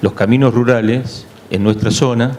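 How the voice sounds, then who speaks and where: A man with a medium pitch talks in fairly even intonation over noticeable background noise, with audible room echo. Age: 60s. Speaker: agronomist, audience member asking a question. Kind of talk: audience question at a conference.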